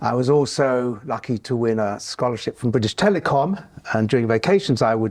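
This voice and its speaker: A man speaks in a southern English accent at a moderate pace. His pitch varies in an ordinary way. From southern England (Hertfordshire). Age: 70s. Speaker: retired computing engineer. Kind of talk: oral history interview. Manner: halting, many fillers.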